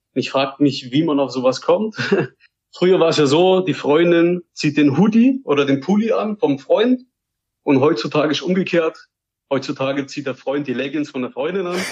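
At a moderate pace, a man with an ordinary speaking voice and a fairly high pitch talks with lively intonation. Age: 20s. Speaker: podcast listener. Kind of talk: casual chat.

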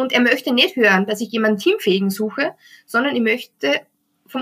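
Her voice sits high, and the woman's pitch shifts in an ordinary way as she talks. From Austria. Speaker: HR recruiting text consultant. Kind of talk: interview.

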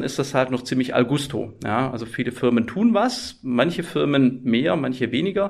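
Speaking with a slight Swabian accent, a man uses lively intonation at a medium pitch. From Swabia, southwest Germany. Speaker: IT security professor. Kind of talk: podcast interview.

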